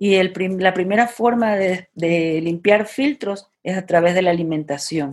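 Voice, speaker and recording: A woman at a fairly slow pace, with hardly any pauses and ordinary pitch variation. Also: medium pitch for a woman. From Ecuador, Guayaquil. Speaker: vegan festival founder. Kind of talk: interview conversation. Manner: halting.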